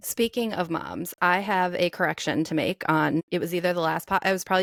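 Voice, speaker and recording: A woman with a Midwestern accent and a fairly low pitch, ordinary pitch variation, a fairly quick pace, a very clean recording with a silent background, and a dry, close sound with no echo. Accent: mild Midwestern. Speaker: personal trainer, podcast co-host. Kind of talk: casual chat.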